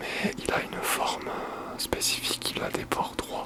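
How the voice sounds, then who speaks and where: Over noticeable background noise, a man is whispering at a very slow pace. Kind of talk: ASMR craft tutorial. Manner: whispered.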